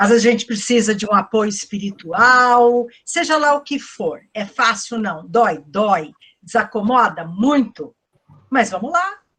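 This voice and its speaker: Her pitch fairly high and her intonation lively, a woman speaks at a very slow pace. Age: 60s. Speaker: psychologist and lecturer. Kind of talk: online lecture Q&A. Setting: online event.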